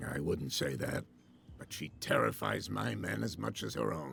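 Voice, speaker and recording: A raspy, put-on character voice delivers lively intonation at a moderate pace over clear background noise. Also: man, very deep, low pitch for a man. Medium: video game. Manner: brusque, condescending.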